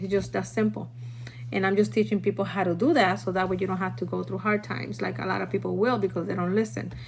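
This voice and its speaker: A woman with a Puerto Rican accent, at a fairly quick pace. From Puerto Rico. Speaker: food prepping teacher. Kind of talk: live stream tutorial. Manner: casual, chatty.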